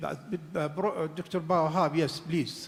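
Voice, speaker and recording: A man with an Arabic accent, fairly high pitch, very slow pace, audible room echo. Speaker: conference moderator. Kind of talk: panel discussion moderation. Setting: conference hall, streamed online. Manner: halting.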